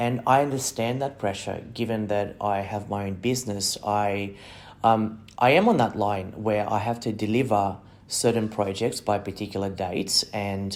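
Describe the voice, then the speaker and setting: A man with an Australian accent, fairly low in pitch and fairly even in intonation, at a moderate pace. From non-English-speaking country, came to Australia at ten. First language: not English. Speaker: migration agent and podcast host. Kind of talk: monologue. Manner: hesitant, many fillers and repeated words.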